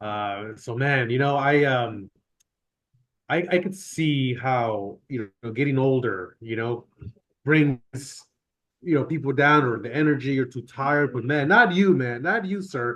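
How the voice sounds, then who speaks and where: At a fairly slow pace, a man speaks in a normal speaking voice of medium pitch with ordinary pitch variation. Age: 30s. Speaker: business partner. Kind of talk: casual chat. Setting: office.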